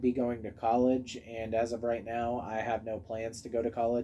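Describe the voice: A man at a moderate pace with a slightly mellow tone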